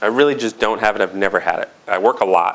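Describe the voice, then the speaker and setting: His pitch swings very widely as a man speaks at a moderate pace. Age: 40s. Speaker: tech company CEO and co-founder; guest. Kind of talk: interview before student audience. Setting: stage with audience. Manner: casual, frequent filler words. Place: hall. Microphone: lapel.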